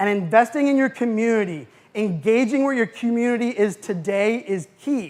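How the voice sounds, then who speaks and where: A man with an American accent speaks in an animated tone at a high pitch, with ordinary pitch variation. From US, Pittsburgh, Pennsylvania. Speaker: keynote speaker. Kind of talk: conference keynote talk. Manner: fast.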